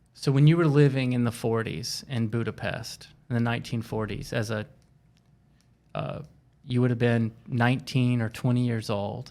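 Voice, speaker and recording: A man speaks at a moderate pace and a medium pitch. His tone is dark and mellow, with fairly even intonation. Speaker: podcast host. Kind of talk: podcast interview questions.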